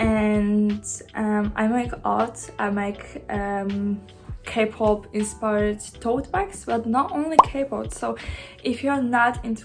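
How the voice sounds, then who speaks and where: A woman with a non-native accent at a very slow pace, amid noticeable background noise. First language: not English. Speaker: small business owner, vlogger. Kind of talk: casual vlog. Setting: sitting on living room floor. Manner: hesitant, many fillers.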